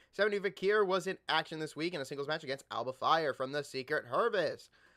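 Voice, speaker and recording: In a very clean recording with a silent background and a dry, close sound free of echo, a man speaks in a raised, projected voice with an animated, bright, sharp tone. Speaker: wrestling podcast host. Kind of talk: casual recap reading with commentary. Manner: fast.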